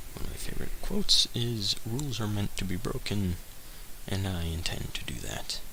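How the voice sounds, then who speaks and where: A man speaks quietly at a moderate pace, with audible room echo and noticeable background noise. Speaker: drawing video creator. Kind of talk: casual narration while drawing.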